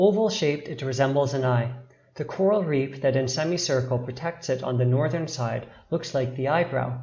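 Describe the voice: The clip is plain reading aloud, with pitch moving in an ordinary way.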